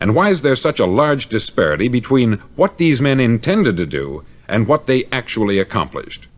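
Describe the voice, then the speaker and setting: A man with an American accent speaks with vocal fry and very wide pitch swings. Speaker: motivational speaker. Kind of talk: motivational spoken-word record.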